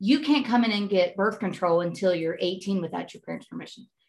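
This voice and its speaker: Lively intonation marks an ordinary speaking voice delivered at a moderate pace. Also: woman. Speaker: guest, mother. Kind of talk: casual chat.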